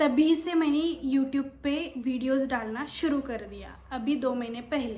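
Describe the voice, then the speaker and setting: Speaking with a Marathi accent and fairly even intonation, the voice shows big swings in loudness against audible room echo. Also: woman, high pitch for a woman. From Maharashtra, India. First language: Marathi (speaking Hindi). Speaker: YouTuber and office worker. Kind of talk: casual vlog talk. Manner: hesitant, many fillers.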